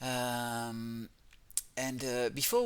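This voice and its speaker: This man's voice carries a French accent. It sits at a middle pitch. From France. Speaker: gaming youtuber. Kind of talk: game walkthrough commentary. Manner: halting, many fillers.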